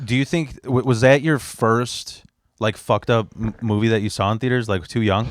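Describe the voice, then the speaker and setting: A man's unremarkable speaking voice in an American accent, medium in pitch with ordinary variation. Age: 30s. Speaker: podcast host. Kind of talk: casual chat.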